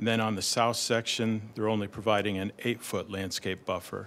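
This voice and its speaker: In a fairly low voice, a man speaks with monotone, flat intonation. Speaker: presenter. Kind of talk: staff presentation. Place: meeting room.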